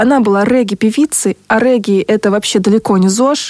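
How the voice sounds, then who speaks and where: A woman speaks at a moderate pace with fairly high pitch and ordinary pitch variation. Her tone is dark and mellow, and the sound is dry and close with no echo. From Russia, Buryat family. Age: 30s. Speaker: podcast co-host. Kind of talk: casual chat.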